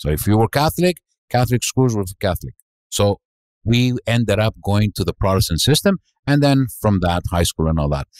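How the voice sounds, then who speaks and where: A man talks at a fairly quick pace, his pitch swinging very widely. The sound is dry and close, with no echo. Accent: Greek. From Montreal, Quebec (Greek-born, arrived age 6). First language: Greek. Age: 60s. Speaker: restaurant owner. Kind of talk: podcast interview. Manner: halting, many fillers.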